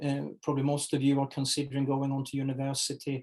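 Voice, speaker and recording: A dark, mellow tone at a moderate pace with a non-native accent. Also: man. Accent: foreign accent, noticeable. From Sweden. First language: Swedish. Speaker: HR executive. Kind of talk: interview. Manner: halting, many fillers.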